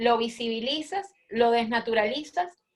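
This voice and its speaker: Here a woman with a high pitch talks with ordinary pitch variation. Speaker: expert speaker at a forum. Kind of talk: panel presentation with slides. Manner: many filler hesitations.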